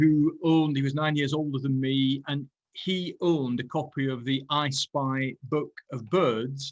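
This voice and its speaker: In a Lancashire accent, a man speaks at a moderate pace. His voice is fairly high, with fairly even intonation. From northern England, Burnley, Lancashire. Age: 60s. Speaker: ecology professor. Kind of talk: lecture. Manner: halting.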